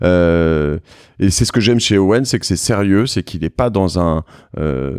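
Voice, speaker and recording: A man talks at a fairly slow pace in a very deep, low voice with ordinary pitch variation. The recording is very clean, with a silent background. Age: 40s. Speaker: podcast host. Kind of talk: casual interview. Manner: hesitant, many fillers.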